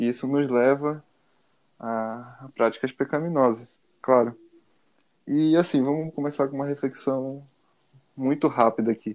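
At a fairly slow pace, a man speaks in a medium pitch with fairly even intonation and long, frequent pauses. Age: 20s. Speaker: podcast co-host. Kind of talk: casual chat.

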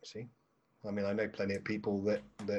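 A man with an English accent, fairly low in pitch, dark and mellow in tone, at a moderate pace. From England. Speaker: marketing coach. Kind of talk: casual interview.

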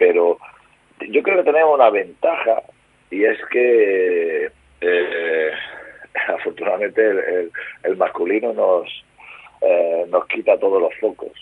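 Pausing long and often, a man talks at a very slow pace. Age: 50s. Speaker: former basketball player and coach. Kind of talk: radio interview. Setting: remote call from home.

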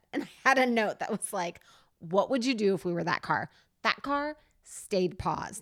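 A woman with a slight New Jersey accent speaks in an animated tone with lively intonation, at a medium pitch and moderate pace, on a very clean recording with a silent background. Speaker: podcast host. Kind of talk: casual chat. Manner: animated, laughs often, impatient.

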